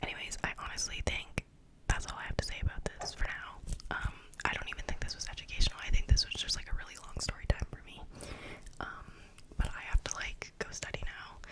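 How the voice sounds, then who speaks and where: A woman whispers at a fairly quick pace with big swings in loudness. Noticeable background noise is present. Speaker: ASMR youtuber. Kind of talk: casual monologue. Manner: fast; animated.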